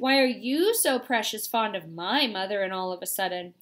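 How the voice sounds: The voice reads naturally.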